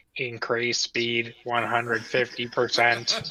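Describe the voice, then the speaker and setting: A robotic, put-on character voice from a man, medium in pitch and fairly slow in pace. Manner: flat, mechanical.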